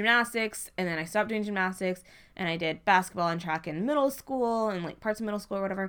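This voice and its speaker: In a very clean recording with a silent background, a woman at a medium pitch speaks at a very fast pace. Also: ordinary pitch variation. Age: 20s. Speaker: podcast co-host. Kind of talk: casual chat.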